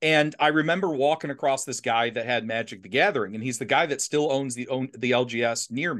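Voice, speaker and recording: A normal speaking voice at a fairly quick pace, with hardly any pauses, ordinary pitch variation and a quiet background. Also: man, medium pitch for a man. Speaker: podcast host. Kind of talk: casual chat.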